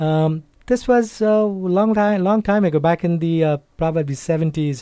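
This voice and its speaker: With lively intonation, a man speaks at a fairly high pitch and a fairly slow pace in a dark, mellow tone. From India, Calcutta. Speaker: community association president. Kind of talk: radio interview. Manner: halting.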